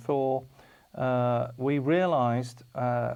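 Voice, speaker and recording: A man speaks at medium pitch with a British accent. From United Kingdom. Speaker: TV programme presenter. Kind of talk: TV presentation. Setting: studio. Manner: halting, many fillers.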